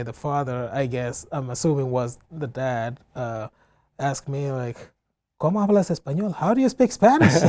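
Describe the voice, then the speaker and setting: A man with a West African accent speaks at a medium pitch in a dark, mellow tone, with ordinary pitch variation. He keeps a moderate pace, and the recording is very clean with a silent background. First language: Fulani. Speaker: community center director. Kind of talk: interview. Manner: hesitant, many fillers.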